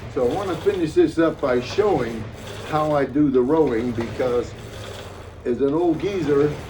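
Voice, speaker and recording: A man talks with a fairly high pitch. There is noticeable background noise behind him. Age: 80s+. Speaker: older exerciser demonstrating workouts. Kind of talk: casual talk to camera. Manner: rambling, hesitant.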